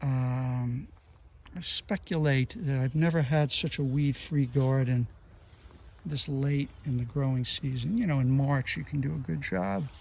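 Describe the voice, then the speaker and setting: A man speaks at a fairly slow pace, somewhat breathy. The recording is very clean with a silent background. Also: medium pitch for a man, ordinary pitch variation. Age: 60s. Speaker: gardening vlogger. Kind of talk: casual monologue.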